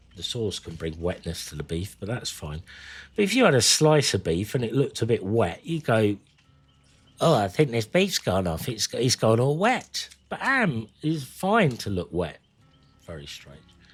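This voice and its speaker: A man's medium-pitched voice at a moderate pace, with very wide pitch swings and big swings in loudness, over background music. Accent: British. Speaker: gaming streamer. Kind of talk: casual live-stream chat. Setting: live stream.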